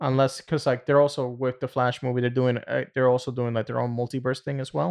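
A man with a medium-pitched voice speaks at a fairly quick pace in an unremarkable speaking voice, with a quiet background. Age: 30s. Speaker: podcast co-host. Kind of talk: casual chat. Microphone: new mic.

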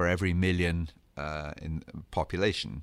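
A man with an English accent and a very deep, low pitch, at a fairly slow pace, in a very clean recording with a silent background. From England. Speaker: radiation scientist, co-host. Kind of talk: educational podcast discussion.

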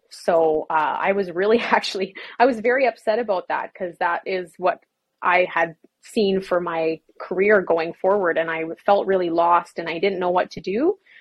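A woman's medium-pitched, unremarkable speaking voice with a Canadian accent, at a moderate pace with ordinary pitch variation. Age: 20s. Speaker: fitness business founder. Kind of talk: interview.

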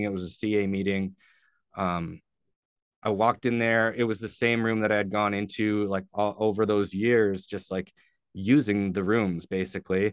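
Against a quiet background, a man with a Canadian accent uses an ordinary speaking voice, fairly low in pitch, at a moderate pace with fairly even intonation. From Ontario, Canada (St. Catharines). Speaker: person in addiction recovery. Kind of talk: personal testimony in interview.

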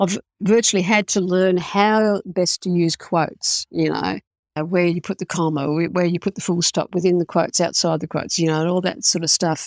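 Recorded very cleanly with a silent background and a dry, close sound with no echo, a woman speaks at a fairly quick pace. Her pitch is fairly low and her intonation fairly even. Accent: Australian. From Australia. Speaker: indie author. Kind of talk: interview. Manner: halting.

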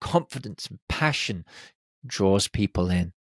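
In a British accent, a man speaks at a fairly slow pace with lively intonation and an animated tone, on a very clean recording with a silent background and a dry, close sound with no echo. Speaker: podcast host. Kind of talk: solo podcast monologue.

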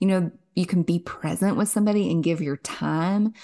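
A woman with a Kentucky accent speaks at medium pitch and a moderate pace against a quiet background. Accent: Southern US (Kentucky). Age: 30s. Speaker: author and podcaster. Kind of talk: faith interview.

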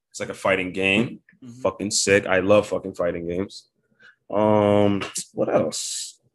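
A man with an American accent speaks at a moderate pace in a fairly low pitch. He has a normal speaking voice, and the background is quiet. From Bridgeport, Connecticut. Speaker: rapper and producer. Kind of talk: casual chat.

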